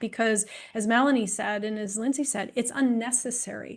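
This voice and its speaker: Fairly quick pace and fairly even intonation from a woman in a normal speaking voice, fairly high in pitch. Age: 60s. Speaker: women's health expert. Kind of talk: panel discussion.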